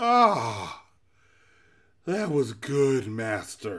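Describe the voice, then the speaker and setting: A man bellows in a put-on character voice. His pitch sits in the middle range. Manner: booming, bellowing.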